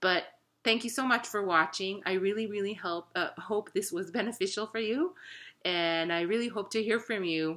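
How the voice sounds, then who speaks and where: A woman with a non-native accent speaks at a moderate pace with ordinary pitch variation and a bright, sharp tone. The recording is very clean, its background silent. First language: not English. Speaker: wellness vlogger. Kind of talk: casual talk to camera. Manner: halting, with self-corrections.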